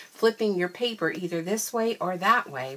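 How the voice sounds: A woman's fairly bright tone at a fairly slow pace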